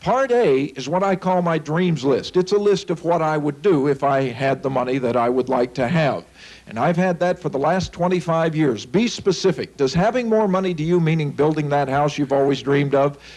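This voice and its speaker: A man's fairly high voice with an American accent, a normal speaking voice, ordinary pitch variation, a moderate pace and hardly any pauses. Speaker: financial seminar speaker. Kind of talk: seminar talk to live audience. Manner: upbeat, persuasive.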